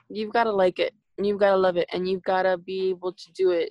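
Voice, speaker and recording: Fairly quick in pace, a woman's voice comes across dry and close with no echo. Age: 20s. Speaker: psychology student. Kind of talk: casual interview.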